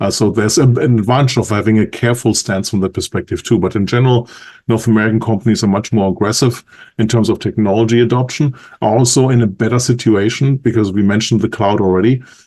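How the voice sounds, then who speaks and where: A man with a German accent speaks very fast at a medium pitch, his tone dark and mellow. His intonation is fairly even and his loudness very even. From Germany. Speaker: industry analyst. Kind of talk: podcast interview.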